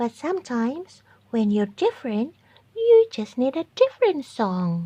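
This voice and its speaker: A female-sounding voice does a put-on character voice with a high pitch at a moderate pace, against a quiet background. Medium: read story.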